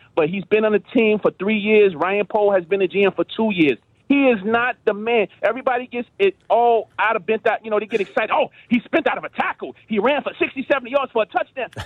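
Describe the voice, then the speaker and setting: A man with an American accent and a high pitch talks at a fairly quick pace with hardly any pauses and ordinary pitch variation. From Chicago. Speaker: radio caller. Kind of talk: call-in phone chat. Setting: phone call. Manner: animated.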